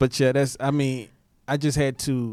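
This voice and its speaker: Fairly slow and flat in a monotone, a man talks at a medium pitch. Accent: American. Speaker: singer. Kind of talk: casual chat.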